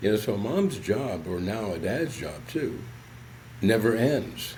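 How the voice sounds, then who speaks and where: With an American accent, a man speaks at a fairly slow pace and with lively intonation, his voice carrying audible room echo. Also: medium pitch for a man. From US South, southern West Virginia. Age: 70s. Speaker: psychologist. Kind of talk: podcast interview.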